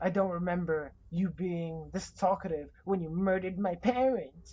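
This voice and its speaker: A female-sounding voice performs a put-on character voice. The pitch is fairly low for a woman, and the pace is moderate. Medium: video game. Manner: cool, cutting.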